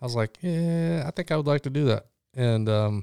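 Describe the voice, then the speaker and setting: With an American accent, a man has an unremarkable speaking voice, fairly high in pitch with ordinary pitch variation, at a moderate pace. The sound is dry and close with no echo, on a very clean recording over a silent background. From Illinois (Chicago, Rockford). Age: 40s. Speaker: former soldier, police officer and coach. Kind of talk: casual chat.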